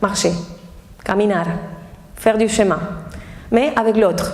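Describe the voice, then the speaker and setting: Heard with an Argentine accent, the speaker keeps a moderate pace and fairly even intonation amid noticeable background noise and audible room echo. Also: woman. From Argentina. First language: Spanish (speaking French). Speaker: tango teacher and dancer. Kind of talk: talk to an audience. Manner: halting.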